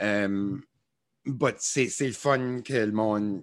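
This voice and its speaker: In a very clean recording with a silent background, a man speaks with an Acadian accent and fairly even intonation. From Acadian New Brunswick. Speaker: musician and social media creator. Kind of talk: casual interview. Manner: hesitant, many fillers.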